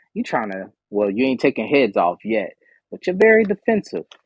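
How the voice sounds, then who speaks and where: The recording of a man has a dry, close sound with no echo. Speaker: tarot reader and live show host. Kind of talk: live stream tarot reading. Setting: live stream with audience stage. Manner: fast; animated.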